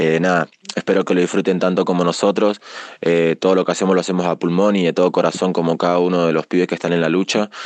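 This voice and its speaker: A man speaks very deep and low at a very fast pace in a flat monotone, with very even loudness and a dry, close sound with no echo. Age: 20s. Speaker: rapper. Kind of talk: recorded self-introduction. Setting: radio segment. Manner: casual, many filler 'eh'.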